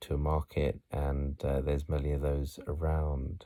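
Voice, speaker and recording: Soft-spoken and very deep in pitch, a man has a dark, mellow tone on a very clean recording with a silent background. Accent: British. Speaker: voice-over artist. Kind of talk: relaxing city tour narration. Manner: soft, relaxing.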